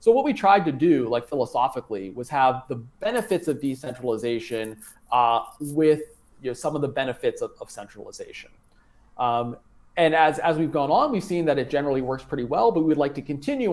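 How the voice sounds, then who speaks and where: Using an ordinary speaking voice with an American accent, a man speaks at a fairly quick pace, fairly high in pitch, with ordinary pitch variation. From United States. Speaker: blockchain foundation staff and council member. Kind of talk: live stream interview. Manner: casual with many fillers.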